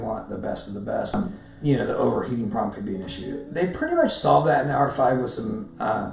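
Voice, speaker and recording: A man's speech carries audible room echo, with light background noise in the mix. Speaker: professional photographer; camera reviewer. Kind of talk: casual talk to camera, camera review. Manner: halting, many fillers and repeats. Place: home room.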